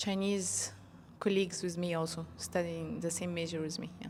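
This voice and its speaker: In an Arabic accent, a woman speaks at a moderate pace with a fairly low pitch. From Egypt. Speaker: marketing professional and polyglot. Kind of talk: interview. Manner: hesitant, many fillers.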